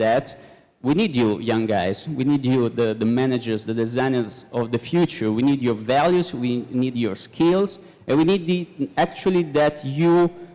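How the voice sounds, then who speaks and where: A man's dark, mellow tone at a medium pitch, with lively intonation and a fairly slow pace. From Italy, Florence. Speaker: sustainability consultant and lecturer. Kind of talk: panel talk. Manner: halting.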